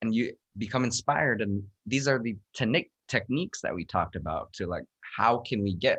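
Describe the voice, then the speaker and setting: A man talks at a moderate pace in an unremarkable speaking voice with lively intonation. The sound is dry and close, with no echo. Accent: American. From United States. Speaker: buddhist monk, meditation teacher. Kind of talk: dharma talk discussion.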